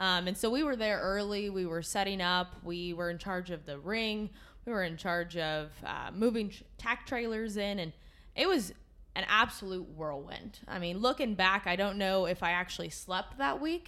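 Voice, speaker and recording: A woman with an American accent talks in a normal speaking voice at medium pitch, ordinary pitch variation and a moderate pace, in a very clean recording with a silent background. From Northern California. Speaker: retiring youth livestock association director. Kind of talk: casual interview.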